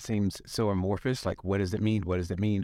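A man with an American accent speaks at a fairly low pitch in a flat monotone. The recording is very clean, with a silent background. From US South. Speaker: leadership consultant. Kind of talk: interview.

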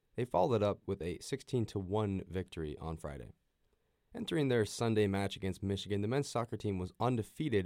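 A man's normal speaking voice, fairly low in pitch and fairly quick, in a very clean recording with a silent background. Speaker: sports reporter. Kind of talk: news reading. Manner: brisk, formal, rapid-fire sports score rundown.

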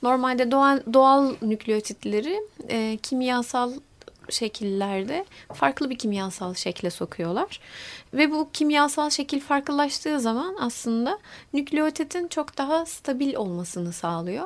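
A woman speaks fairly slowly in a high pitch. Her pitch swings very widely. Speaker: molecular biologist, university lecturer. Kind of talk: interview.

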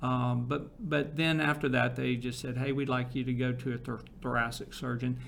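With hardly any pauses, a man talks at a moderate pace and medium pitch in a monotone, flat way, and room echo is audible. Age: 60s. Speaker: marketing agency founder and cancer patient. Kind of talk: interview.

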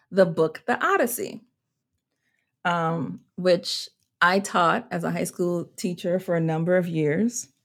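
Speaking very slowly at medium pitch, a woman with an American accent is heard on a very clean recording with a silent background. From US Virgin Islands (Saint Croix). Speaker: seminary professor and minister. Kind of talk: interview conversation.

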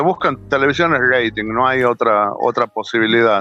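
Music plays in the background as a man talks at a fairly quick pace. The sound is dry and close, with no echo. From Argentina, Tucumán. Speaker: chef. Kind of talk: interview.

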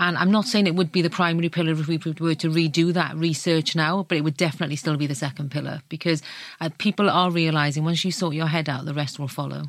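A woman's very deep, low voice in a South Wales accent, very fast with hardly any pauses and fairly even intonation, on a very clean recording with a silent background. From Wales, South Wales Valleys. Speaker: magazine editor. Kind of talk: casual chat. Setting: studio.

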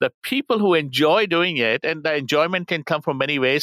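A man speaks fairly quickly in a bright, sharp tone with lively intonation. The sound is dry and close with no echo, a very clean recording with a silent background. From India. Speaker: marketing professor. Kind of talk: interview.

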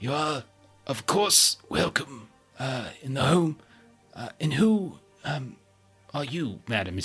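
Faint music plays in the background as a man, in a put-on character voice, speaks at a very slow pace with a fairly high pitch. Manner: polite, formal.

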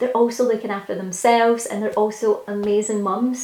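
A woman's fairly high voice at a fairly quick pace over noticeable background noise. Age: 30s. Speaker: podcast host. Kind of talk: solo podcast monologue. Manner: casual, with frequent fillers.

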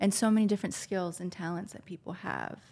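A woman speaks at a fairly quick pace in a monotone, flat intonation. Her tone is dark and mellow and somewhat breathy. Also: very clean recording, silent background. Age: 40s. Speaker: spiritual healer. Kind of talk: casual chat.

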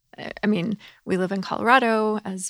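A woman with an American accent in a normal speaking voice, medium-pitched with fairly even intonation and a fairly slow pace, on a very clean recording with a silent background and a dry, close sound without echo. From US South. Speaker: ministry staff member. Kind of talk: casual chat. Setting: studio.

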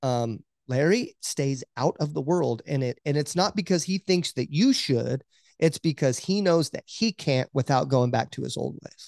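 Against a quiet background, a man with an ordinary speaking voice talks at a moderate pace in an American accent. His pitch is fairly high with ordinary variation, and the sound is dry and close with no echo. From US Oklahoma. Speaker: podcast co-host. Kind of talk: casual interview chat.

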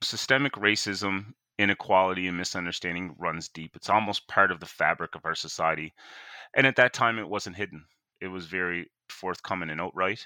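A man with a very deep, low pitch and a bright, sharp tone speaks with ordinary pitch variation and big swings in loudness, in a very clean recording with a silent background and a dry, close sound with no echo. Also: fairly quick pace. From Cape Breton, Nova Scotia. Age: 30s. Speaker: community advocate. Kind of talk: interview. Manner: animated.

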